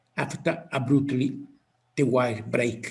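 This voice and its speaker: With a strong Italian accent, a man speaks at a very slow pace and medium pitch. His voice shows vocal fry and ordinary pitch variation. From Italy. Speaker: physicist. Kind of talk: interview. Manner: halting.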